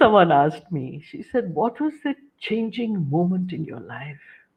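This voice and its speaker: A woman at a fairly slow pace, with very wide pitch swings and big swings in loudness. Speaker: cancer counsellor and motivational speaker. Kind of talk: interview.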